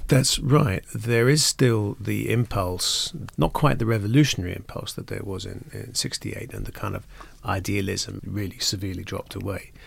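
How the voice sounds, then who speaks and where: In a very clean recording with a silent background, a man speaks at a moderate pace with big swings in loudness. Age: 50s. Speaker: urban design and architecture expert. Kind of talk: interview discussion.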